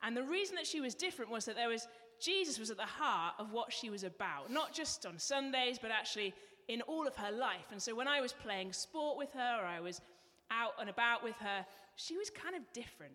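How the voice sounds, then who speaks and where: Fairly quick speech in an English accent, bright and sharp in tone, with very wide pitch swings. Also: woman, fairly high pitch for a woman. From England. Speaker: church member giving testimony. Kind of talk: testimony. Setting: church.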